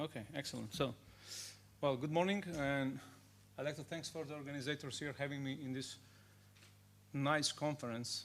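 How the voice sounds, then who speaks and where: This man speaks with a Macedonian accent at a fairly high pitch, using fairly even intonation and long, frequent pauses. The recording is very clean, and the background is silent. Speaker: cybersecurity consultant. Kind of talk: conference talk. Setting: stage with audience. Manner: fast.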